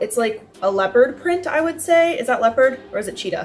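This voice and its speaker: Faint music sits in the background. A woman speaks high-pitched at a moderate pace. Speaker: vlogger. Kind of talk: casual vlog chat. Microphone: camera far.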